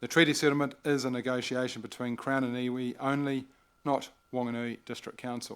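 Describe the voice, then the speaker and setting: The man has a New Zealand accent and a medium pitch, talking at a fairly quick pace in a monotone, flat intonation. The recording is very clean, with a silent background. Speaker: mayor chairing council meeting. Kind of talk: formal council meeting address. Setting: council chamber, livestreamed meeting.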